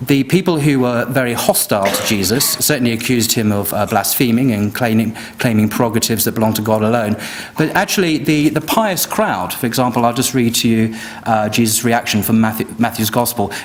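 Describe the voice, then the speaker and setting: There is noticeable background noise as a man speaks. His pitch is medium, with ordinary pitch variation. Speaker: debater. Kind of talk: formal debate rebuttal. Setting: live event with audience. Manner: soft-spoken; quiet. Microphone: too quiet for the back of the room.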